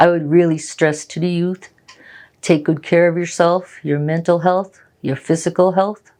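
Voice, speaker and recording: A woman with a fairly low pitch and a dark, mellow tone speaks at a moderate pace with monotone, flat intonation. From Nova Scotia, Mi'kmaw reserve. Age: 60s. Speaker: community elder. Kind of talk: interview.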